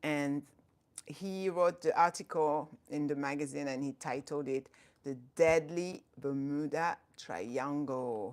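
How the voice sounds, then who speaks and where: In a French accent, a woman speaks at a very slow pace with a very deep, low pitch, on a very clean recording with a silent background. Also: ordinary pitch variation. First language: not English (English is third language). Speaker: Islamic educator and YouTuber. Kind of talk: live stream talk. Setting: live stream. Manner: halting, self-correcting.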